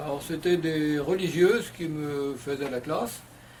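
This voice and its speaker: There is audible room echo around a man whose fairly high-pitched voice holds a fairly even intonation. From western France, Vendée. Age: 70s. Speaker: retired interviewee. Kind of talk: interview. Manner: hesitant, many fillers.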